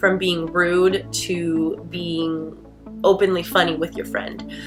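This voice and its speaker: Over music in the background, a woman speaks at a very slow pace in an upbeat tone. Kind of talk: casual talk to camera.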